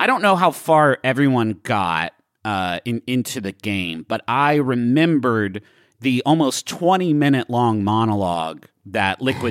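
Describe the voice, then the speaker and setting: A man's voice moves through very wide pitch swings, with a dry, close sound and no echo. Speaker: podcast co-host. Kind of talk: casual banter, podcast chat.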